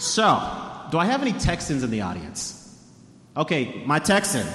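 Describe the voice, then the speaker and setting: With an American accent and a fairly high pitch, a man talks at a moderate pace amid noticeable background noise and audible room echo. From Denver, Colorado. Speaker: author and food historian. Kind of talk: talk to a live audience.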